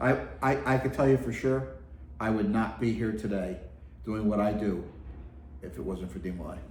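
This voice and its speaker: At a moderate pace, a man with a fairly low pitch makes very wide pitch swings, leaving long, frequent pauses amid audible room echo. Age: 60s. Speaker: youth organization executive officer. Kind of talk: interview conversation. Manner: halting, many fillers.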